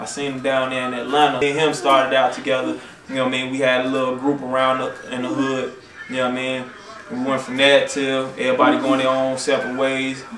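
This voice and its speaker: With noticeable background noise and audible room echo, a man speaks very fast at a medium pitch in a monotone, flat intonation. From Chicago. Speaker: rapper. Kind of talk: interview. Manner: not fast-talking; casual, slangy.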